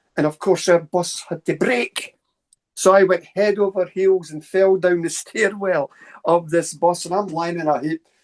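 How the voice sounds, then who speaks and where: A man with a Scottish accent speaks in a high voice, the sound dry and close with no echo. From central Scotland, Stirling area. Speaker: paranormal researcher and lecturer. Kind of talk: casual interview storytelling. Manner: fast; animated.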